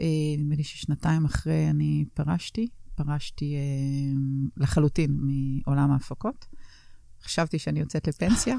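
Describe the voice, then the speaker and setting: Over a very clean recording with a silent background, a woman speaks at a fairly slow pace. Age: 50s. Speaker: entrepreneur. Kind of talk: interview. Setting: studio.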